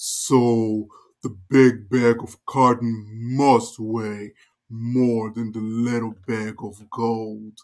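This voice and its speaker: Using a put-on character voice, a man speaks at a medium pitch and a very slow pace. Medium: read story. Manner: gruff, overbearing.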